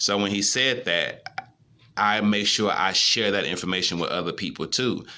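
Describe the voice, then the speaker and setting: This man's voice is fairly low, with a bright, sharp tone. He talks at a moderate pace with ordinary pitch variation. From US Midwest, St. Louis. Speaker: YouTuber, motivational speaker. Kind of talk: motivational monologue. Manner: casual, conversational.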